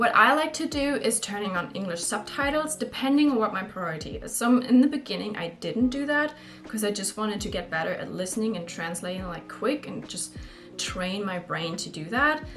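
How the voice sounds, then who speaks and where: Over noticeable background noise and audible room echo, a woman with a German accent speaks fairly quickly at a fairly high pitch, with very wide pitch swings and big swings in loudness. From Germany. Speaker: YouTuber, language tips. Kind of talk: casual tutorial vlog. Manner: casual, conversational.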